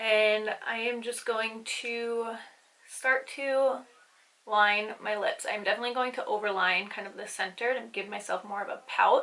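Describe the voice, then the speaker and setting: Speaking at a fairly slow pace, this woman has a fairly high, bright and sharp voice, a flat, monotone delivery and big swings in loudness. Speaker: beauty vlogger. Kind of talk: makeup tutorial. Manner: casual, relaxed.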